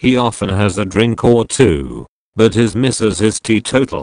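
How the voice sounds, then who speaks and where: A man with a fairly low pitch and vocal fry speaks at a fairly slow pace. His pitch varies in an ordinary way, and the sound is dry and close with no echo. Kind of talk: rhymed spoken-word poem, satirical and provocative.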